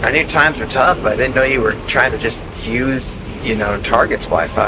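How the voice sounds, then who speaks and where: With music in the background, a man talks at a moderate pace in a medium pitch and fairly even intonation. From Colorado. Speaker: gaming streamer. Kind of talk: live stream chat while gaming. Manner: halting, many fillers.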